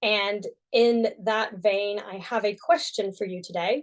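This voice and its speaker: In an American accent, a woman talks with a fairly high pitch. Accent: American, unchanged after a decade in UK. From US (Texas). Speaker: sign language interpreter. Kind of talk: conference talk.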